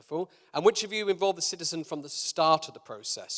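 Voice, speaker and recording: A man with a British accent speaks at a fairly high pitch, the sound dry and close with no echo. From Britain. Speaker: keynote speaker, food entrepreneur. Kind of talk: conference keynote. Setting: conference stage with live audience. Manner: hesitant, many fillers.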